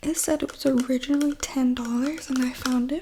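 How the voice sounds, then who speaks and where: A woman whispering amid noticeable background noise. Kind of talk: ASMR casual talk to camera. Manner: whispered.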